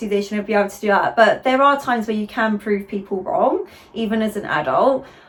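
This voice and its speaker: A woman with an unremarkable speaking voice talks at a fairly high pitch and a fairly quick pace, with ordinary pitch variation. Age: 30s. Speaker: pointe shoe fitter and video host. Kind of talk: casual interview chat.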